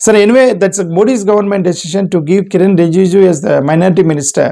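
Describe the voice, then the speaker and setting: This man's voice sits high in pitch yet carries a dark, mellow tone. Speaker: political commentator. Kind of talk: political commentary monologue. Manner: hesitant with fillers.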